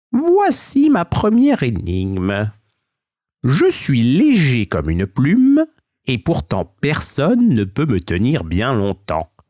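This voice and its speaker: Drawling and hissing, a man at medium pitch puts on a character voice at a fairly slow pace. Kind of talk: bedtime story. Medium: read story. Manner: hissing, mocking, drawling.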